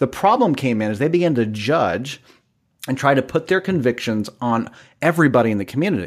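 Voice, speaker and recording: A man's ordinary speaking voice, medium in pitch, fairly quick, with lively intonation. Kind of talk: casual chat.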